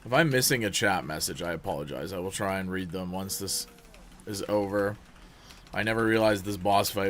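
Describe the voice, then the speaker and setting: Speaking at a moderate pace, a man uses a fairly low pitch with ordinary pitch variation. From Canada. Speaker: video game streamer. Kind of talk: live gameplay commentary. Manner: animated.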